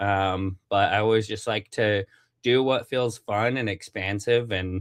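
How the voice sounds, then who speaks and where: A man with a Western US accent speaks fairly slowly at a fairly low pitch. His pitch varies in an ordinary way, and the recording is very clean with a silent background. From Utah. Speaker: CEO and marketing speaker. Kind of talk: interview. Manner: casual, many fillers.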